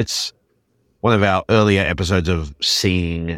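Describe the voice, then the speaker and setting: The speech moves at a fairly slow pace with ordinary pitch variation. It is a very clean recording with a silent background. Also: man. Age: 40s. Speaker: podcast co-host. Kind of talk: casual chat.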